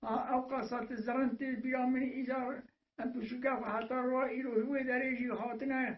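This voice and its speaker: Monotone, flat delivery from a man with an extremely high pitch, at a moderate pace. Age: 80s+. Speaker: village elder. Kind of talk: oral history. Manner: halting, with many hesitations.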